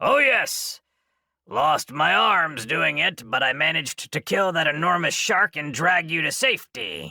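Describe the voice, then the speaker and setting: A man performs a put-on character voice with a fairly high pitch at a moderate pace. The recording is very clean, with a silent background. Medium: read story. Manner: playful, relishing every word.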